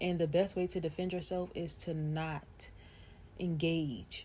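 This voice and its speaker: Very slow and somewhat breathy, a woman speaks in a fairly low pitch with monotone, flat intonation. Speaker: vlogger. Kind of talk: casual monologue.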